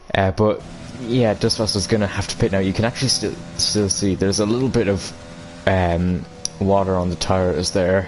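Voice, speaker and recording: A man talks at a fairly low pitch and a moderate pace while music plays in the background. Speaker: esports race commentator. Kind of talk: live commentary. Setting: live stream. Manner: flat, not showing excitement.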